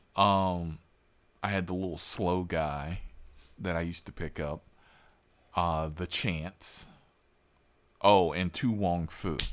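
Over a very clean recording with a silent background, a man speaks at a very slow pace in a very deep, low pitch, leaving long, frequent pauses. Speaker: rideshare driver and podcast host. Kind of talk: casual interview. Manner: animated.

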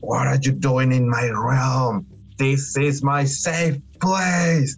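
A man talks at a very slow pace in a put-on character voice, with light background noise. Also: medium pitch for a man. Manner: menacing, territorial.

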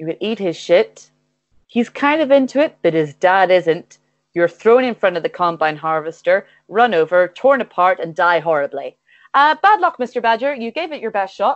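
In an Irish accent, a woman speaks at a medium pitch and a moderate pace. Her pitch swings very widely. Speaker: comedian and streamer. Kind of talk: casual comedic chat, improvised game. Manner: halting, hesitant, filler-heavy.

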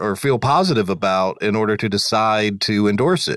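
At a moderate pace, a man talks in an ordinary speaking voice with ordinary pitch variation, in a very clean recording with a silent background and a dry, close sound with no echo. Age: 50s. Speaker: lawyer and podcast co-host. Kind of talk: casual interview.

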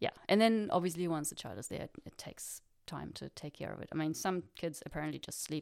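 A woman speaks with a German accent. Her pace is fairly quick. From Germany. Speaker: postdoc researcher. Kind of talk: interview chat.

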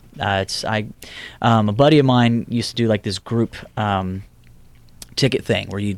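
A plain, everyday voice from a man with an American accent, fairly low in pitch with ordinary pitch variation, at a moderate pace, in a dry, close sound with no echo. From Houston, Texas. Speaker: singer-songwriter. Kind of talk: casual interview.

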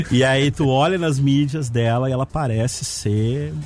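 Music sits in the background as a man speaks at a very slow pace. His pitch is medium, with ordinary pitch variation. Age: 30s. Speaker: communication consultant. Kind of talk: radio interview. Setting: radio studio.

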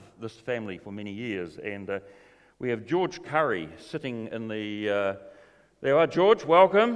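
Lively intonation from a man with a New Zealand accent, medium pitch, and a fairly quick pace. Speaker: church event MC. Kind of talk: announcements. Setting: church. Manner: jokey, playful.

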